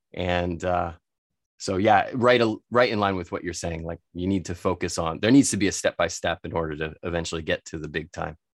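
At a fairly quick pace with ordinary pitch variation, the voice sounds dry and close with no echo in a very clean recording over a silent background. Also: man, very deep, low pitch for a man. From United States. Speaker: spirits expert and entrepreneur. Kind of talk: casual interview.

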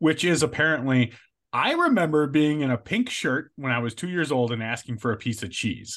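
Against a quiet background, a man with an American accent speaks at a fairly quick pace, somewhat breathy and with lively intonation. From Chicago area, US Midwest. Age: 40s. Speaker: podcast co-host. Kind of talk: casual chat.

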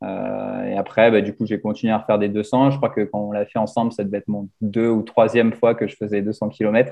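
Hardly pausing at all, a man talks at a fairly quick pace in a monotone, flat intonation. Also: fairly low pitch for a man. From grew up abroad, mostly outside France. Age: 20s. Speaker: ultra-endurance cyclist. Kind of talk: casual chat. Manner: halting, many hesitations.

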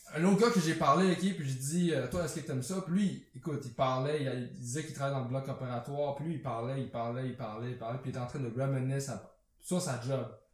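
With audible room echo, a man with a fairly high voice talks at a very fast pace with hardly any pauses. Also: ordinary pitch variation. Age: 20s. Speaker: podcast co-host. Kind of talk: casual chat.

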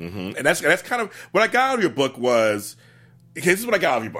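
In a very clean recording with a silent background, a man speaks at a very fast pace in an animated tone, his fairly high pitch moving in very wide swings and showing vocal fry. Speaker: book show host. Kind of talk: casual chat. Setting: studio. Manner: loud.

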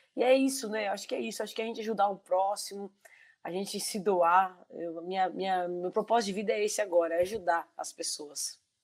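A woman with a plain, everyday voice speaks at a fairly quick pace and medium pitch, with ordinary pitch variation and big swings in loudness. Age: 40s. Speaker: civil servant sharing lived experience of bipolar disorder. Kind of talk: live-stream interview, casual. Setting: online live stream.

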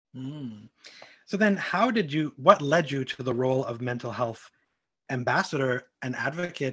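A man with an American accent speaks in a normal speaking voice, fairly high in pitch. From Brooklyn, New York. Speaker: podcast host. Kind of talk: interview.

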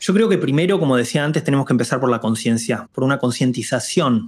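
An ordinary speaking voice from a man, fairly high in pitch with lively intonation, on a very clean recording with a silent background. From Argentina, Buenos Aires. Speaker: diversity and inclusion lead. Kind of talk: interview conversation.

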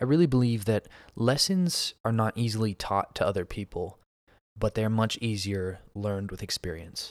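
A man with an unremarkable speaking voice and an American accent talks at a medium pitch and moderate pace with ordinary pitch variation, on a very clean recording with a silent background and a dry, close sound with no echo. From US Northeast, Pennsylvania. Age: 20s. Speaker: podcast host. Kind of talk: solo monologue podcast. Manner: casual, frequent fillers (um, uh).

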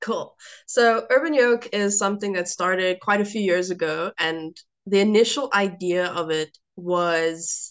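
In a South African accent, a woman speaks at a fairly slow pace and a medium pitch. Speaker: food and lifestyle blogger. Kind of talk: podcast interview.

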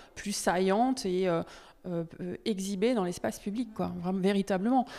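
A woman with a medium pitch speaks at a very slow pace with fairly even intonation. The recording is very clean, with a silent background. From Normandy, France. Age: 40s. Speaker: visual artist. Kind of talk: interview. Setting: exhibition hall. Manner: halting, many fillers.

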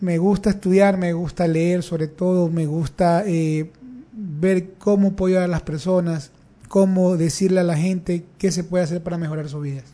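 Speaking at a moderate pace, a man has a high pitch, a dark, mellow tone, and fairly even intonation. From Guayaquil, Ecuador. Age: young. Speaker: politician. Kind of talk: interview. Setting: radio studio.

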